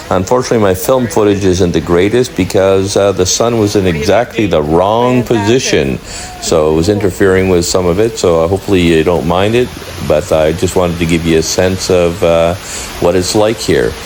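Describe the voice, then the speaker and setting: With noticeable background noise behind him, a man speaks at a fairly quick pace in a very deep, low pitch, keeping ordinary pitch variation and very even loudness. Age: 60s. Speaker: travel vlogger. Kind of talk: vlog voiceover narration. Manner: hesitant with frequent uhs.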